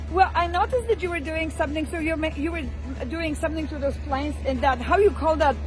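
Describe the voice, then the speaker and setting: Over music in the background, a woman with a Polish accent speaks at a very fast pace. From Poland. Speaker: travel vlogger. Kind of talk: on-location interview.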